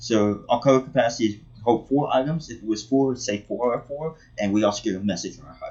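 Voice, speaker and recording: Very fast speech from a man in a medium pitch with ordinary pitch variation. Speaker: gaming tutorial youtuber. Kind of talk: tutorial. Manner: halting.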